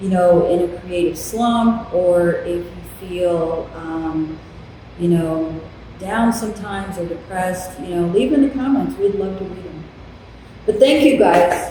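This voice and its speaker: A woman talks at a fairly slow pace with ordinary pitch variation. The room echo is audible, and background noise is noticeable. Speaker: artist and channel host. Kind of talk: casual chat. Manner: loud.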